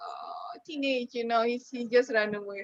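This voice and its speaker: The speaker has an Indonesian accent. Noticeable background noise can be heard. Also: woman. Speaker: poet. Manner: halting.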